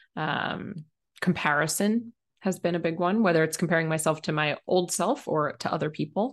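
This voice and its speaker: The voice has ordinary pitch variation against a quiet background. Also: woman. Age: 30s. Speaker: business mentor. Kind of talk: interview.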